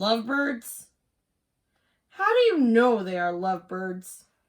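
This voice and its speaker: A woman's put-on character voice, fairly high in pitch and fairly slow in pace. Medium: read story. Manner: calm, upbeat.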